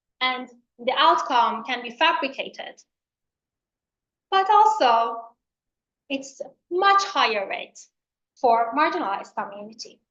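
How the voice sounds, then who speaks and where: Spoken with an Iranian accent, the voice has a bright, sharp tone and very wide pitch swings. The pace is fairly slow, with long, frequent pauses. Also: woman, high pitch for a woman, big swings in loudness. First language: Farsi. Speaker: professor. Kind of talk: lecture.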